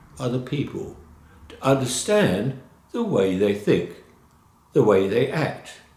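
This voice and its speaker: Someone with a British accent speaks at a very slow pace, with very wide pitch swings and audible room echo. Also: man. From London, England. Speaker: college instructor. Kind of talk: course introduction lecture. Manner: informal, with filler hesitations.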